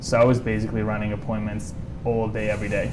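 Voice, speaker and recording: Noticeable background noise surrounds a man talking at a very fast pace and a medium pitch. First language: Italian. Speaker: solar sales rep. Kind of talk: interview.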